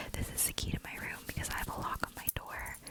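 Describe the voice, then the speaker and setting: A woman is whispering. There is noticeable background noise behind her. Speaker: student. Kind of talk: ASMR whispered bag tour. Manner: whispered.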